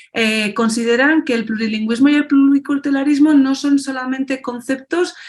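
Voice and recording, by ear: Talking at a fairly quick pace, a woman uses a high pitch with ordinary pitch variation.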